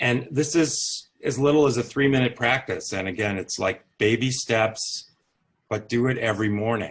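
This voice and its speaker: A man with a medium pitch and a somewhat breathy voice talks at a moderate speed, his pitch varying in an ordinary way. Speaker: physician and author. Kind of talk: interview. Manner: calm.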